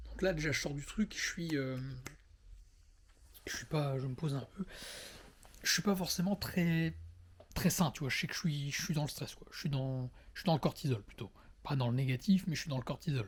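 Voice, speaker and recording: Somewhat breathy, a man speaks at a fairly high pitch with ordinary pitch variation and long, frequent pauses. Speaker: vlogger. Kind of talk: personal monologue. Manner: fast; halting.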